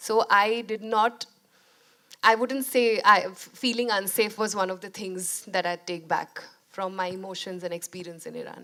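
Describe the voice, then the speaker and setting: Speaking with a Bengali accent, a woman keeps a medium pitch, fairly even intonation and a moderate pace, with big swings in loudness. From India. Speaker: documentary filmmaker. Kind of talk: interview conversation. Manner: hesitant, many fillers.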